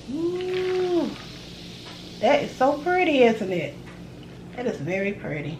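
Noticeable background noise sits behind a woman with a Southern US accent who speaks at a very slow pace with long, frequent pauses, her high voice making very wide pitch swings. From US South. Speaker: cooking video creator. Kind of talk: casual cooking vlog. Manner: animated. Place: home room. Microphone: phone near.

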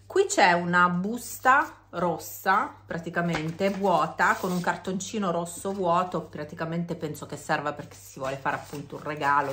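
This woman's pitch is very deep and low, with ordinary pitch variation. She speaks at a moderate pace. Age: 50s. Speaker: beauty vlogger. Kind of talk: casual vlog monologue.

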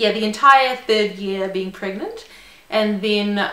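A woman with a New Zealand accent at a fairly slow pace, with audible room echo. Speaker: lawyer. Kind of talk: casual talk to camera. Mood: friendly, upbeat. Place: home room.

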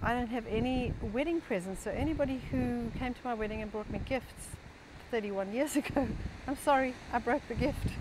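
A high-pitched woman's voice with ordinary pitch variation, dry sound with no echo, and noticeable background noise. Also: moderate pace. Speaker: health author and speaker sharing her personal story. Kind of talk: personal story talk. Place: garden. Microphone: phone near.

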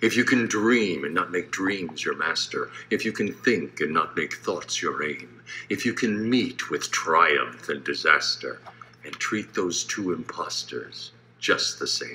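Light background noise sits behind the recording. A man speaks at a fairly slow pace. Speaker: voice actor. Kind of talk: poetry reading. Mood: solemn, measured delivery. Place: home room. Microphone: phone near.

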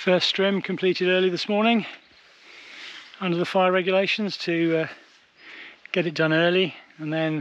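A man speaks in a high voice with monotone, flat intonation. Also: moderate pace, dry sound with no echo. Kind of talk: casual vlog chat. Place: garden. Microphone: phone near.

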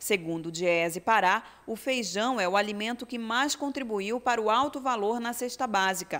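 At a moderate pace with hardly any pauses and ordinary pitch variation, this is an unremarkable speaking voice. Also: woman, fairly high pitch for a woman. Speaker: TV news reporter. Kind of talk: news reading. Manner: formal.

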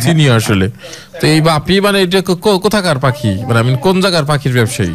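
Over light background noise, a man with a fairly high pitch keeps his loudness very even while his pitch swings very widely. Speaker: radio host doing a prank call. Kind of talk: radio prank call, casual conversation. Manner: playful, teasing, polite. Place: studio.

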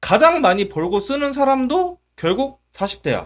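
A man's animated tone with very wide pitch swings. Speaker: YouTube commentator. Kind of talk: comedic commentary monologue.

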